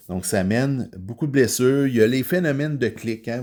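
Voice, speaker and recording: The voice has a dark, mellow tone and ordinary pitch variation in a very clean recording with a silent background. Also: man. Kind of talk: podcast monologue on faith. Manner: loud; hesitant, many filler words.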